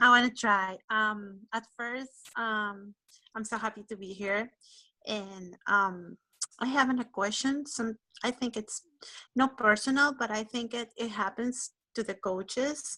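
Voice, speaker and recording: A woman speaks at a fairly slow pace with a non-native accent. Her fairly high voice has a bright, sharp tone and fairly even intonation. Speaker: fitness coach. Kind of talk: casual chat. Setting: video call. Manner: halting.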